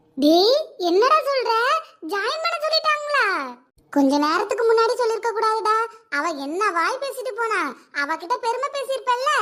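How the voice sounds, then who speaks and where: A woman speaks in a cartoonish character voice with an extremely high pitch, at a fairly slow pace. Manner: warm, chatty.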